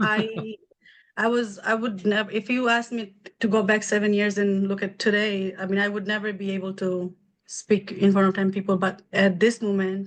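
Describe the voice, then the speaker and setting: A woman at medium pitch, moderate pace, with monotone, flat intonation against a quiet background. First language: not English (English is third language). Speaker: medical billing business owner. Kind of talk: interview.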